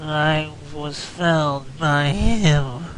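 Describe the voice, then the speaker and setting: Clear background noise accompanies a man doing a put-on character voice at a fairly high pitch. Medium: game stream.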